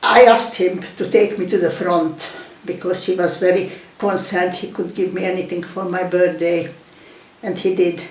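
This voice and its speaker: The speech is monotone and flat at a fairly slow pace, with noticeable background noise and audible room echo. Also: woman. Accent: Hungarian. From Hungary. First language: Hungarian. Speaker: war refugee, elderly emigrant. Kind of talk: oral history interview. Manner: halting.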